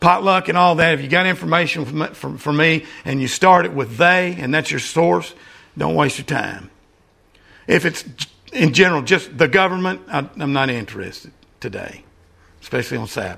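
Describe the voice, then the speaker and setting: The voice has vocal fry and a bright, sharp tone, with lively intonation. Long, frequent pauses break up the speech. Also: man, fairly high pitch for a man, moderate pace. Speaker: preacher. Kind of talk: sermon. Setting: church.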